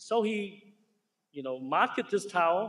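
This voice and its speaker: A man speaks with lively intonation in a strong Chinese accent. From Hong Kong. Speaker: surgeon, keynote speaker. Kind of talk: ceremony keynote speech. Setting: stage with audience. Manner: halting, self-correcting.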